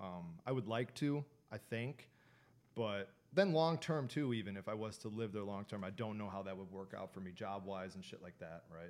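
At a moderate pace, a man with a fairly low pitch and an unremarkable speaking voice shows ordinary pitch variation and big swings in loudness. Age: 20s. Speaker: podcast co-host. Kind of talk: casual chat.

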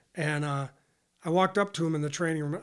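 Over a silent background on a very clean recording, a man talks at a fairly quick pace in a fairly high voice with ordinary pitch variation. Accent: American. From western New York. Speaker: retired university athletics academic administrator. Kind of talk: casual interview.

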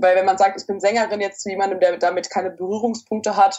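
A woman talks at a fairly quick pace in an unremarkable speaking voice. Her pitch is medium. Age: 20s. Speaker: opera singing student. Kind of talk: interview.

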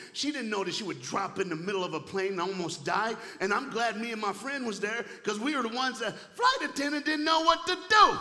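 Over noticeable background noise, a man with a high pitch talks in a raised, projected voice at a fairly quick pace, his tone animated and his intonation lively. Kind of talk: sermon. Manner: animated, call-and-response, fervent.

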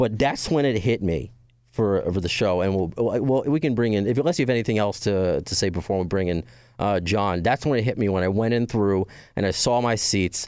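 A man's normal speaking voice in an American accent, fairly low in pitch with ordinary pitch variation at a fairly quick pace, on a very clean recording with a silent background. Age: 30s. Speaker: podcast host. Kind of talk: casual chat. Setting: studio.

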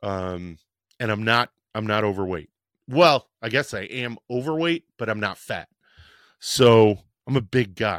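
A man of medium pitch speaks in an animated tone with ordinary pitch variation, at a fairly slow pace with long, frequent pauses. The sound is dry and close with no echo, in a very clean recording with a silent background. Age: 50s. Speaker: fitness podcast host. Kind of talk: casual solo podcast talk. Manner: halting.

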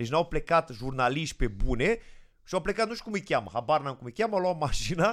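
On a very clean recording with a silent background, a man speaks at a fairly quick pace and fairly high pitch, with very wide pitch swings and big swings in loudness. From Moldova region, Romania. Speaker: comedian. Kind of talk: casual chat.

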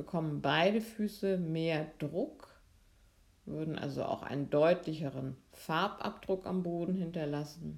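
Her voice is an unremarkable speaking voice, a woman's at a fairly low pitch, moving at a fairly slow pace with ordinary pitch variation. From Lübeck, northern Germany, raised from 14 in Freiburg. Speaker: physiotherapist and movement teacher. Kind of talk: guided movement lesson; interview. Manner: calm, slow instructional.

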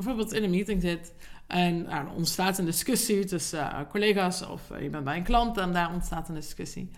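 There is audible room echo around a woman speaking at a fairly low pitch. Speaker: podcast host and leadership coach. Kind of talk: solo podcast monologue. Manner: hesitant with fillers.

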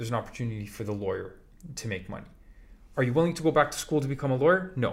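Fairly high-pitched and somewhat breathy, a man talks at a very fast pace. His intonation is lively. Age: 40s. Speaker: podcast co-host, business owner. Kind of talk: casual chat.

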